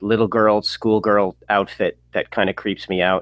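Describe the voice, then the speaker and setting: This man has a normal speaking voice and an American accent. He talks at a moderate pace and a medium pitch. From US, Long Island, New York. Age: 40s. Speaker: comedian. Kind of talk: casual chat. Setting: video call.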